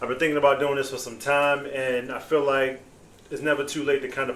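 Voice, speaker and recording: Audible room echo fills the recording. The pace is fairly quick. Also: man. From Baltimore, Maryland (East Baltimore). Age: 40s. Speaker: podcast host. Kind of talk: casual podcast monologue.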